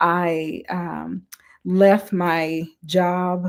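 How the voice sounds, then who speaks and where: With a Southern US accent and a fairly low pitch, a woman speaks on a very clean recording with a silent background. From US South, Mississippi. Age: 20s. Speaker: author and coach. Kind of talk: interview. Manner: dynamic.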